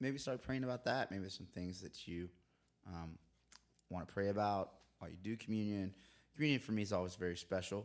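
A man with a fairly low pitch talks at a very fast pace yet takes long, frequent pauses, on a very clean recording with a silent background. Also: ordinary pitch variation. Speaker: church podcast host. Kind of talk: casual chat.

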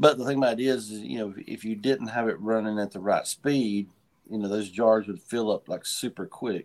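A man with an Appalachian accent speaks at a moderate pace in a medium pitch, his intonation fairly even. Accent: Appalachian Southern US. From western North Carolina (Hendersonville/Asheville). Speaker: moonshiner and master distiller. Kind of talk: casual interview chat. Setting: remote video call on a tablet.

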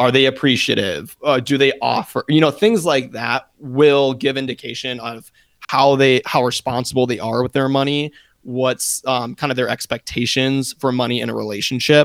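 A man's normal speaking voice at medium pitch, moderate pace and fairly even intonation, with a dry, close sound, no echo, and a very clean recording over a silent background. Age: 20s. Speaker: podcast co-host. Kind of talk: casual chat.

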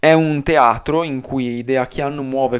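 This man talks at a medium pitch with fairly even intonation. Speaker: YouTuber. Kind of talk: unscripted video essay. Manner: stream of consciousness, unedited; halting.

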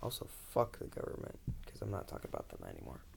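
Whispering, a man speaks at a very fast pace. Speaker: podcast host. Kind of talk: casual solo podcast intro. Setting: bedroom, home recording. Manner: rambling, casual.

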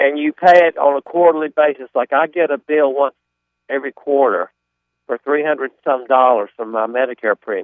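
A man's normal speaking voice, fairly high in pitch, with ordinary pitch variation, big swings in loudness and a fairly quick pace. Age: 60s. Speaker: caller. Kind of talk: phone-in question. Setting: phone call.

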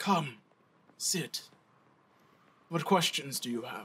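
A put-on character voice comes through at a fairly slow pace. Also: man, fairly high pitch for a man. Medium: actual play. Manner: calm, cryptic, measured.

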